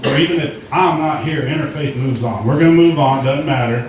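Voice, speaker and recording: A man talks with ordinary pitch variation. Audible room echo and noticeable background noise surround his voice. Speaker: recovery program graduate. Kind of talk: testimony.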